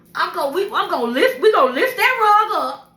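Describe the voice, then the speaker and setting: A woman speaks in a raised, projected voice with an extremely high pitch and very wide pitch swings. Her bright, sharp, passionate tone carries audible room echo. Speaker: vlogger sharing life stories. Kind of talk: casual monologue. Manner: loud, passionate.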